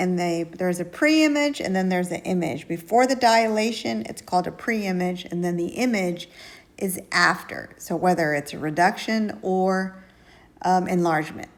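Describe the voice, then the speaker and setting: In a normal speaking voice, the speaker moves at a moderate pace with lively intonation. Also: woman, medium pitch for a woman. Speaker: math teacher. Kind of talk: tutorial. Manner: casual.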